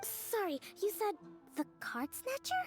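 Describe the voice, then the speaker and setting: A woman puts on a character voice at an extremely high pitch, with very wide pitch swings and a fairly slow pace, in a dry, close sound with no echo and clear background noise. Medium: video game. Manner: calm, measured, polite.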